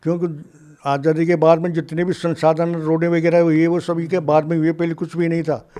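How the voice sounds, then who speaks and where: At a moderate pace, a man talks in a high pitch with a dark, mellow tone and monotone, flat intonation. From Jaipur, Rajasthan, India. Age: 90s. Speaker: freedom fighter. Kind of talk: interview. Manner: halting.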